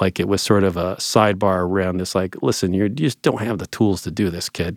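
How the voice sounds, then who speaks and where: A man with an American accent has an unremarkable speaking voice, fairly low in pitch and fairly quick in pace. The recording is very clean, with a silent background and a dry, close sound with no echo. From northwest Ohio, US Midwest. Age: 40s. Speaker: business owner and skateboarding advocate. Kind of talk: interview.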